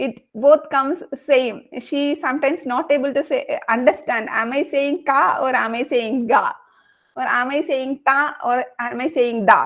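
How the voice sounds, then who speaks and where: With a Kerala Indian accent, a woman speaks in a high pitch at a fairly slow pace, her pitch varying in an ordinary way. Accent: Malayali Indian English. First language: Malayalam. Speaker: Sanskrit learner sharing experience. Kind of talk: online group discussion.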